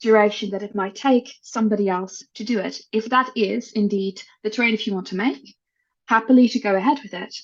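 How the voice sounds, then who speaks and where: A woman with a Dutch accent speaks somewhat breathily at a fairly high pitch with ordinary pitch variation. Her pace is fairly quick and the background quiet. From Netherlands. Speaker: HR executive. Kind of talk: podcast interview.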